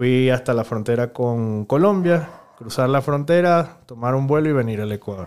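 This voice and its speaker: A man talks at a moderate pace in a medium pitch with ordinary pitch variation. He has a normal speaking voice. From Venezuela. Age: 30s. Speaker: politician. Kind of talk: interview.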